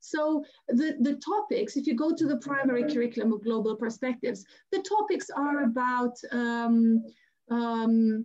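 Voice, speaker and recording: In a Romanian accent, a woman with a high pitch speaks at a moderate pace with lively intonation. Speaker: teacher trainer. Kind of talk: webinar Q&A. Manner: halting.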